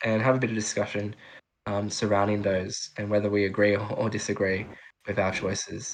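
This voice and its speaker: Against a quiet background, a man talks with an Australian accent. His pitch sits fairly low. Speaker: podcast host. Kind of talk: casual chat.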